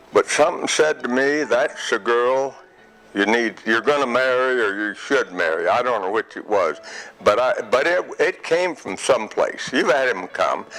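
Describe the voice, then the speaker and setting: Moderate pace in an American accent, with noticeable background noise. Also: man. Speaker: retiree telling life story. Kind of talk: interview storytelling. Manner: halting.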